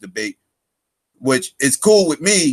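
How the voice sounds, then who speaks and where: The man's ordinary pitch variation comes across in a dry, close sound with no echo. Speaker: live stream host. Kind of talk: casual chat. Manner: loud; animated.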